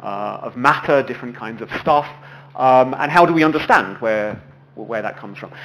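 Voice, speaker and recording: The loudness swings widely, and the room echo is audible. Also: man, medium pitch for a man, ordinary pitch variation. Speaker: physics lecturer. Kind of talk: lecture. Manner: fast; halting, repeats words.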